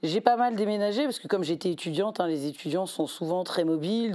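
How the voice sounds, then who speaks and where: Her tone is dark and mellow, with ordinary pitch variation. This woman's voice is fairly low in pitch. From southern France, Montpellier. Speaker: election candidate and law lecturer. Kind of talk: interview. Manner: hesitant, many fillers.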